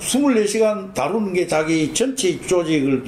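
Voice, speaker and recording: A man's voice sits high for his sex, heard against noticeable background noise. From rural Korea. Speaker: oral history interviewee, former associate of a business leader. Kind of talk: oral history interview. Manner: conversational, rambling with fillers.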